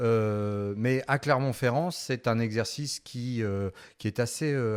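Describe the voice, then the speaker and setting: A man speaks at a medium pitch and a fairly slow pace, with ordinary pitch variation. The recording is very clean, with a silent background. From France, Orléans. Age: 40s. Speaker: law professor and local politician. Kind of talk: interview. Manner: hesitant, many fillers; formal.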